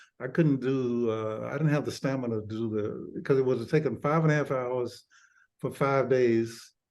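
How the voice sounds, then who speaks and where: A man with an Alabama accent, at a moderate pace and with fairly even intonation. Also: medium pitch for a man. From Birmingham, Alabama, US South. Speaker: retired doctor and author. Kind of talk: interview. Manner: halting, many repeated words.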